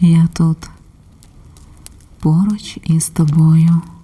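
There is noticeable background noise. A woman speaks with a fairly low pitch. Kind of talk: ASMR relaxation and support talk. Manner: calm, soft-spoken; slow.

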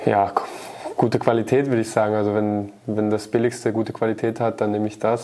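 A man's fairly low voice at a very fast pace, monotone and flat in intonation. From Baden, southwest Germany; Germany. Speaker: professional footballer. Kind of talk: casual interview. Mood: amused, laughing. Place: studio.

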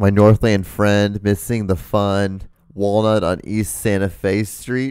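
In a dry recording with no echo and a quiet background, a man speaks very slowly at a fairly low pitch with monotone, flat intonation. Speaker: comedy podcast co-host. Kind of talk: casual chat. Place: home room. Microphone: studio mic.

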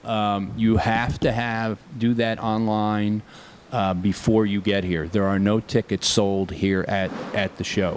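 Light background noise sits behind a man speaking in a monotone with flat intonation. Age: 60s. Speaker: air show representative. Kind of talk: interview. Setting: outdoors. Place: meeting room. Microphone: studio mic.

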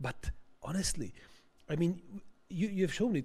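The man's voice sits high in pitch and moves at a fairly quick pace. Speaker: audience member. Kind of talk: academic Q&A. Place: hall. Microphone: handheld.

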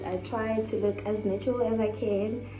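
A woman's voice carries audible room echo, with clear music in the background. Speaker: vlogger. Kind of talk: casual vlog chat. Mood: relaxed, playful. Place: home room. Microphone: phone near.

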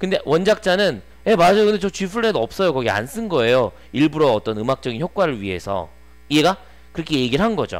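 With very wide pitch swings, a man talks fairly quickly in a high pitch. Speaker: English teacher. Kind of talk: lecture. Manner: casual and conversational. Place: classroom. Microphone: headset.

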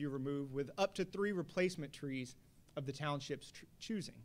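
A plain, everyday voice belongs to a man with an American accent, speaking at a fairly high pitch with ordinary pitch variation. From Texas, Houston. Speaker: attorney. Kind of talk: panel discussion. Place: hall. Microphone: podium.

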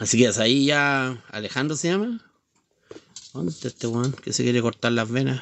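The speaker moves at a moderate pace with ordinary pitch variation and long, frequent pauses. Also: man, medium pitch for a man. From Chile. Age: 50s. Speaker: livestreamer; live streamer. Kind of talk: casual chat; casual live stream chat. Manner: halting. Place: home room. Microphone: phone near.

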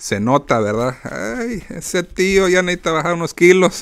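His tone animated, a man speaks fairly slowly with very wide pitch swings. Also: quiet background. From Mexican-American, born in Phoenix, raised partly in Mexico; Arizona. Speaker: podcast host. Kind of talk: casual monologue. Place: home room. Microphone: studio mic.

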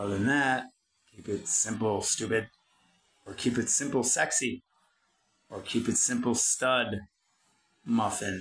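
With an American accent, a man talks at a medium pitch and a fairly slow pace, leaving long, frequent pauses. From US Midwest, Detroit. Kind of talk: rant-style tutorial monologue. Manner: animated.

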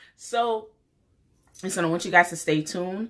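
The speaker has a New York accent and an animated tone. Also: woman. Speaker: beauty YouTuber. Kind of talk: casual vlog talk to camera. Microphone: phone near.

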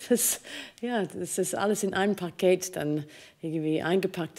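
A woman's dark, mellow voice at a fairly slow pace, with ordinary pitch variation, against a quiet background. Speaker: opera singer; interviewee. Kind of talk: interview. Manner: halting, many fillers. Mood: warm, amused storytelling. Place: stage. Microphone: studio mic.

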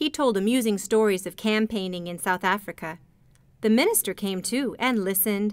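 Natural read-aloud voice, pitch varying in an ordinary way

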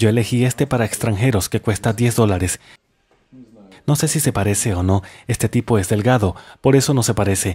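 Fairly quick, somewhat breathy speech in a dark, mellow tone, with long, frequent pauses and ordinary pitch variation, on a very clean recording with a silent background. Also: man, medium pitch for a man. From Russia, Samara. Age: 30s. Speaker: travel vlogger. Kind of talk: documentary narration.

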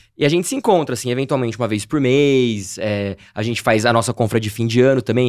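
A man talks at a very fast pace with hardly any pauses. His pitch variation is ordinary, and the background is quiet. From Campinas, São Paulo state, Brazil; São Paulo, Brazil. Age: 30s. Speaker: travel youtuber. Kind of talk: casual interview chat. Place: studio. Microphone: studio mic.

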